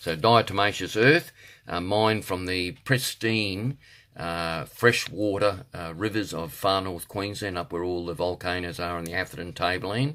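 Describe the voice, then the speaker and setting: Here is a man with an Australian accent and a very deep, low voice. The recording is very clean, with a silent background. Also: ordinary pitch variation, moderate pace. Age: 60s. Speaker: health product seller and martial arts instructor. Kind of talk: product promotion monologue. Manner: halting, many fillers.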